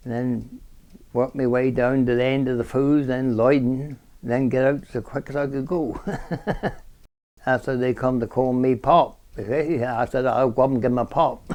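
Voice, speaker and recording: Spoken with a West Country accent in a monotone, flat intonation, the voice sits over a quiet background. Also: man, medium pitch for a man, moderate pace. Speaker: retired miner and market gardener. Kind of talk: oral history interview.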